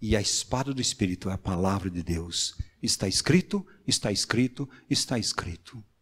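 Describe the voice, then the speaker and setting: A man speaks at a moderate pace in a fairly low pitch, somewhat breathy, with ordinary pitch variation on a very clean recording with a silent background. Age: 60s. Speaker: preacher. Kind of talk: sermon.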